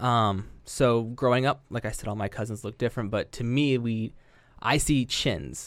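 With a Midwestern American accent, a man speaks at a moderate pace and medium pitch with fairly even intonation on a very clean recording with a silent background. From southwest Ohio (Yellow Springs). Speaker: elementary school educator. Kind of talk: casual chat.

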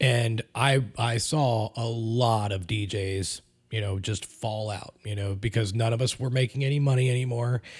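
At a fairly slow pace with hardly any pauses, a man speaks at medium pitch, somewhat breathy and with fairly even intonation, on a very clean recording with a silent background. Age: 30s. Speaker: podcast co-host, DJ. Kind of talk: casual chat.

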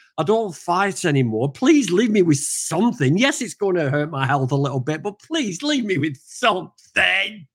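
Pitched high, a man speaks with a northern English accent. His moderate pace carries very wide pitch swings. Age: 40s. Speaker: vegan activist. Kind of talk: casual chat. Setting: video call.

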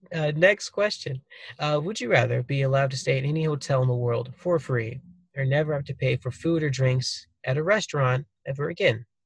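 A man talks at a fairly quick pace with a fairly high pitch. His voice is somewhat breathy, with ordinary pitch variation. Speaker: podcast host. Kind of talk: casual interview chat. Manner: casual, joking, chatty.

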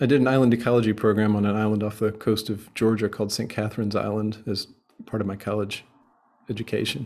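This man has an unremarkable speaking voice, fairly low in pitch, with fairly even intonation. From United States. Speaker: journalist and author. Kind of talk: casual interview chat.

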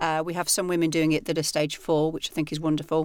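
With a northern English accent, a woman speaks at a fairly low pitch in a monotone, flat intonation on a very clean recording with a silent background. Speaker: personal trainer and author. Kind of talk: casual interview chat.

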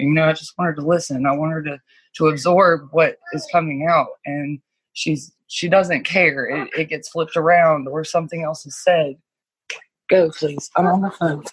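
A woman with an American accent, somewhat breathy, very deep and low in pitch, at a moderate pace with fairly even intonation. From US East Coast, rural small town. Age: 20s. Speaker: guest sharing life story. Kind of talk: personal testimony. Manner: halting, many fillers.

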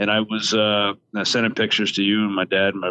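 This man speaks at a fairly low pitch. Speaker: podcast co-host. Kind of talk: casual chat.

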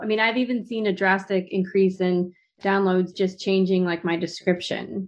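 A normal speaking voice from a woman, medium in pitch, at a fairly quick pace with fairly even intonation. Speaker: podcaster and coaching student.

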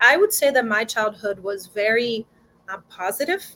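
A woman speaks at a moderate pace with a Brazilian accent. Her pitch sits fairly high. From Brazil, João Pessoa. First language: Portuguese. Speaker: violinist. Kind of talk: interview. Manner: warm, enthusiastic.

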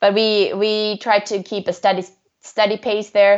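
A woman speaks with a Swedish accent. Her pitch is medium. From Sweden, Stockholm. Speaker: swimrun athlete. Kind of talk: interview.

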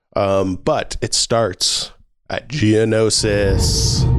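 Over music in the background, a man speaks at a fairly low pitch with ordinary pitch variation. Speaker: podcast co-host. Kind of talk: casual chat.

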